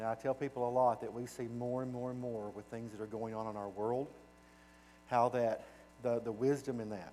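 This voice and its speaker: A man with a Southern US accent speaks at a fairly quick pace, his medium-pitched voice dark and mellow in tone and his intonation monotone and flat. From US South (Arkansas). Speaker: children's home director, guest speaker. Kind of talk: church presentation. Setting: church. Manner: casual, folksy.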